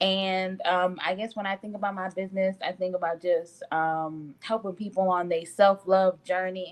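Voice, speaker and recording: A woman with a medium pitch speaks at a moderate pace with hardly any pauses. Her intonation is monotone and flat. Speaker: skincare business founder. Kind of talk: live interview. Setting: live stream video call. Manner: loud; hesitant, many fillers.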